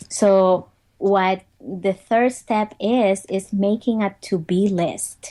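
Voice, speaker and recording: Against a quiet background, a woman with a Spanish accent keeps her intonation fairly even. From Dominican Republic. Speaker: motivational speaker. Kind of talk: interview.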